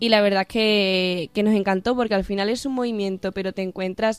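Monotone, flat intonation at a moderate pace, with a dry, close sound and no echo. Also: woman. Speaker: university student. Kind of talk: casual chat.

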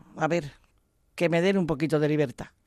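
This is a woman's voice. Her recording is very clean and the background is silent. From Madrid, Spain. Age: old. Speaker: president of a seniors' church movement. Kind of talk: radio interview. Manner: animated.

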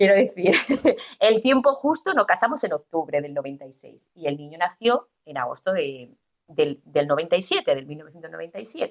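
Very slowly, a woman speaks with very wide pitch swings and big swings in loudness. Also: medium pitch for a woman. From Andalusia, Spain (Estepona, Málaga). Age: 40s. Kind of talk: testimony. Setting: radio studio. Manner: halting.

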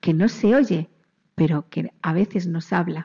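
A woman speaks very slowly in a dark, mellow tone. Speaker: children's radio presenter. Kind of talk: children's religious radio program. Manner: animated.

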